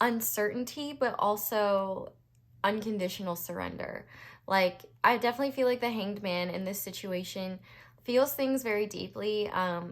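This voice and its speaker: Speaking with an American accent, a woman talks at a moderate pace and a medium pitch with ordinary pitch variation. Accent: temporary Southern US twang. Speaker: tarot reader. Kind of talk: tarot reading monologue. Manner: hesitant, many fillers.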